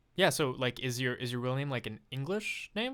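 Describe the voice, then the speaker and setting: Spoken with a French accent, the clip is a very clean recording with a silent background. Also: man. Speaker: podcast host. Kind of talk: casual interview chat. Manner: casual, many fillers.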